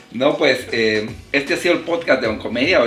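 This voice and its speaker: At a fairly quick pace, a man speaks with ordinary pitch variation while music plays and room echo is audible. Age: 40s. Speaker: podcast host. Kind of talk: casual interview chat.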